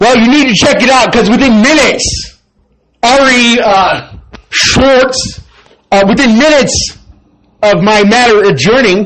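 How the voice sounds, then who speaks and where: A man's extremely high-pitched, animated voice at a fairly slow pace, with ordinary pitch variation, very even loudness, long and frequent pauses, and audible room echo. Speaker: video blogger. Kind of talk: personal monologue.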